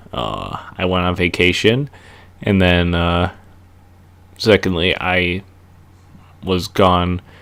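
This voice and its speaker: A man with a Minnesota accent speaks at a very slow pace in a very deep, low pitch, with ordinary pitch variation and long, frequent pauses. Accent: Minnesota accent (regular voice). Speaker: wrestling reviewer, YouTuber. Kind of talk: casual vlog monologue. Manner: halting, many fillers.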